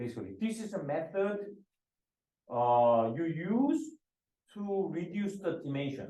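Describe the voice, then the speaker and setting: This man has a dark, mellow tone and a high pitch, with very wide pitch swings. He talks at a very slow pace, leaving long, frequent pauses. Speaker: professor. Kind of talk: lecture. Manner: halting, many fillers and repetitions.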